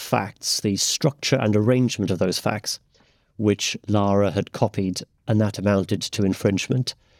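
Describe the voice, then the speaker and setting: With a normal speaking voice, a man talks at a moderate pace in a fairly low pitch, recorded very cleanly against a silent background in a dry, close sound with no echo. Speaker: barrister. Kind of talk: expert discussion.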